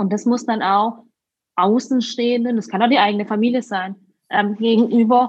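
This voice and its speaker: A woman at a fairly high pitch, moderate pace, and fairly even intonation. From Württemberg, southern Germany. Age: 30s. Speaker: winemaker. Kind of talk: interview.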